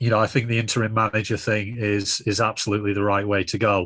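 A man talks at a medium pitch with a northern English accent and a flat, monotone delivery. The sound is dry and close, with no echo. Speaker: football fan pundit. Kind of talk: casual chat.

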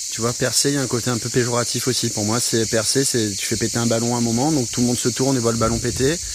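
Amid noticeable background noise and audible room echo, a man at medium pitch speaks very fast with hardly any pauses and flat, monotone intonation. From Provence, southern France. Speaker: musician. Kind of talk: casual conversation. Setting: outdoors.

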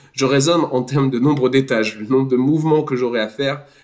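At a fairly quick pace, a man talks in an ordinary speaking voice at medium pitch with fairly even intonation. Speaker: podcast host. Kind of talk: casual chat.

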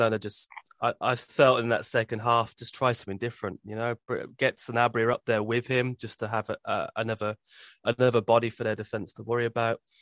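The speaker has a Birmingham accent and talks at a fairly quick pace in a monotone, flat intonation. The sound is dry and close, with no echo. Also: man. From Birmingham, England. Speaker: football podcast co-host. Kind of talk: casual chat.

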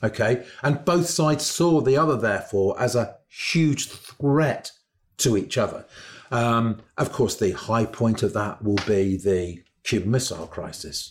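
On a very clean recording with a silent background, a man's somewhat breathy voice moves at a fairly slow pace, medium in pitch with lively intonation. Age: 60s. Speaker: historian. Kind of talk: educational discussion. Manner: hesitant, many fillers.

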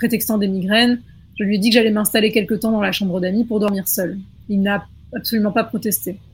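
A woman is speaking at a fairly quick pace. Background music accompanies her. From rural France. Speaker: scriptwriter, podcast panelist. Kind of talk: reading aloud horror stories.

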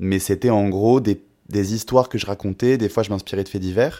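At a fairly quick pace, a man with an unremarkable speaking voice talks at a fairly low pitch with ordinary pitch variation in a very clean recording with a silent background. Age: 20s. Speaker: singer-songwriter. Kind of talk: casual interview.

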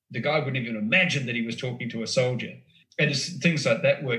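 Bright and sharp in tone, a man with an Australian accent speaks at medium pitch with ordinary pitch variation. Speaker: former foreign correspondent and author. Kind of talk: casual chat.

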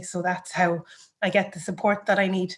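A woman's medium-pitched voice in an Irish accent, with monotone, flat intonation. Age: 30s. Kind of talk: personal story interview.

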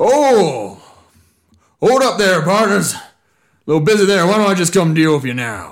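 A put-on character voice shouting, with long, frequent pauses and audible echo. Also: man, high pitch for a man, moderate pace. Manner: yelling down, friendly but menacing.

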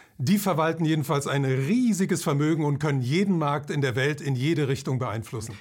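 Somewhat breathy, a man speaks at a fairly quick pace and fairly high pitch with ordinary pitch variation and hardly any pauses. His loudness is very even, on a very clean recording with a silent background. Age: 70s. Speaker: author and financial commentator. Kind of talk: interview.

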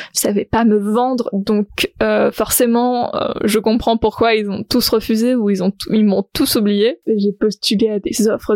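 A woman's fairly high voice, very slow yet with hardly any pauses, fairly even in intonation, in a dry, close recording with no echo. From southern France. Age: 20s. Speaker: podcast host, photographer and entrepreneur. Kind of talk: unscripted solo podcast monologue. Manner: casual, spontaneous with hesitations.

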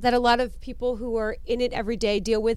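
A woman talks with a fairly high pitch. Audible room echo surrounds her voice. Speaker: podcast co-host. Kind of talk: casual chat.

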